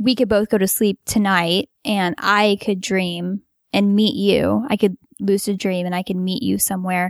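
Recorded in a dry, close sound with no echo, a woman with an unremarkable speaking voice and an American accent keeps a fairly even intonation. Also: very clean recording, silent background. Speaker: lucid dreamer. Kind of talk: casual chat. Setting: home basement.

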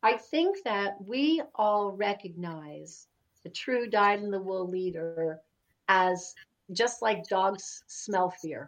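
A woman with an American accent, medium pitch and a very slow pace. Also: ordinary pitch variation. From US Pacific Northwest. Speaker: podcaster and storyteller. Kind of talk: casual interview chat. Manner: warm, storytelling.

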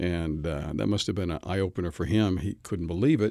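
On a very clean recording with a silent background, a man with vocal fry talks at a fairly quick pace. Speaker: receptionist and voice actor.

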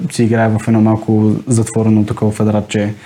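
A man speaks at a moderate pace and medium pitch over noticeable background noise. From Bulgaria, Sofia. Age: 20s. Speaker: door-to-door salesman. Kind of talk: interview.

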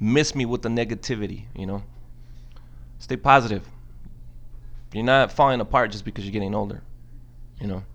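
With a fairly low pitch and vocal fry, a man talks at a fairly quick pace with fairly even intonation, big swings in loudness and long, frequent pauses. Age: 30s. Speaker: podcast host. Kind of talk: solo monologue. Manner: casual, filler-heavy.

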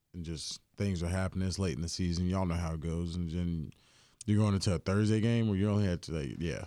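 Talking very fast in a North Carolina accent, a man uses a very deep, low voice with ordinary pitch variation. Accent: Southern US, North Carolina. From US South, Greensboro, North Carolina. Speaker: pro football player. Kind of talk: casual interview. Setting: studio.

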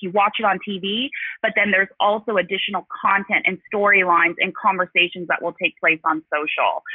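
A woman speaks at a medium pitch at a moderate pace. She has a plain, everyday voice with ordinary pitch variation. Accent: American. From Los Angeles. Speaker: marketing executive. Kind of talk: interview. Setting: phone call.

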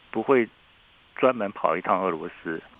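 Male speech, moderately paced, its pitch swinging very widely. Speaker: professor. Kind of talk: interview. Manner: halting, many fillers.

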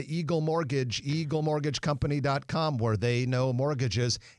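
The man has an unremarkable speaking voice with a fairly high pitch. He speaks at a moderate pace. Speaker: radio co-host. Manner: brisk, cheerful, polished broadcaster delivery.

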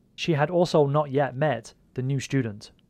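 A normal speaking voice at a moderate pace. The recording is very clean, with a silent background. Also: man. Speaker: fan-fiction audio drama creator and narrator. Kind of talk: dramatic narration of a scripted audio story. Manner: measured, suspenseful, storyteller delivery.

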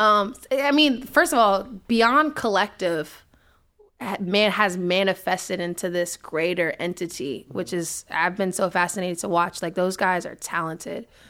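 With a D.C. accent, a woman talks in a bright, sharp tone at medium pitch, her intonation lively, on a very clean recording with a silent background. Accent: D.C. area urban American. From Washington D.C. area. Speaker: brand and events manager. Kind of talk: casual interview chat. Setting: studio. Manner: fast talker.

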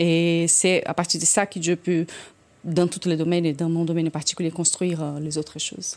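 The very clean recording, with a silent background, holds a woman speaking at a moderate pace in a fairly low, flat monotone. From Brazil, São Paulo. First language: Portuguese (speaking French). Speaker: orchestra conductor. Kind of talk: casual chat.

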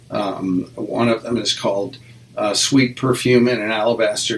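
Flat and monotone, a man with an American accent talks at a fairly low pitch over noticeable background noise. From US Midwest (Nebraska, Wyoming). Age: 70s. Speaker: jazz musician and music teacher. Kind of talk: interview. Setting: studio.

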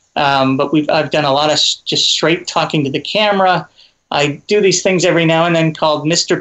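Speaking at a moderate pace with fairly even intonation, a man uses a plain, everyday voice pitched fairly high. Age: 50s. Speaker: comedian and video creator. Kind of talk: interview.

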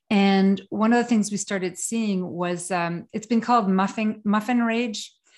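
A woman with a French Canadian accent, medium in pitch, at a fairly slow pace with fairly even intonation, in a very clean recording with a silent background. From Quebec, Canada. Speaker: trauma specialist and consultant. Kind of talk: casual interview.

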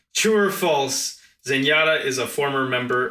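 A plain, everyday voice from a man at medium pitch, with lively intonation and a moderate pace. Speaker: podcast co-host. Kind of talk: casual chat. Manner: joking.

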